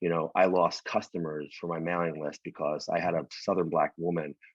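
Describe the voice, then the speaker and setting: In a New York accent, a man with a very deep, low voice speaks fairly quickly in a flat monotone. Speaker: winemaker. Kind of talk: casual interview chat. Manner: fast.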